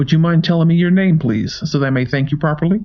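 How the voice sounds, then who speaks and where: A man puts on a character voice. He rattles along at a very fast pace. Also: fairly high pitch for a man. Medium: read story. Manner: polite, soft-spoken, menacing.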